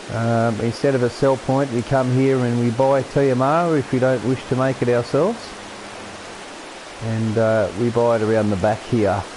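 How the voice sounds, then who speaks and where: Noticeable noise fills the background. The talking proceeds at a moderate speed. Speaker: gaming streamer. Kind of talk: gameplay commentary. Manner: casual, halting with repetitions.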